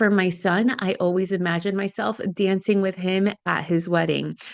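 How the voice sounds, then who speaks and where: An unremarkable speaking voice from a woman at a medium pitch and moderate pace, against a quiet background. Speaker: licensed therapist, podcast host. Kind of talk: podcast advice talk. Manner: warm, earnest.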